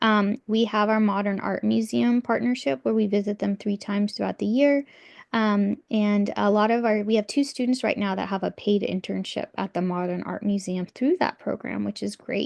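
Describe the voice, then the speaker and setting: Over a quiet background, a woman talks in a plain, everyday voice at a moderate pace with hardly any pauses, her pitch medium with ordinary variation. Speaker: art teacher. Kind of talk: parent information meeting presentation. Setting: video call.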